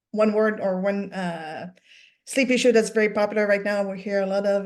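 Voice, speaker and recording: In a French-Canadian accent, a woman speaks at a moderate pace and medium pitch. Her intonation is fairly even, against a quiet background. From Quebec. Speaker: sleep coach. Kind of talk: interview on a webinar. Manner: halting, many fillers.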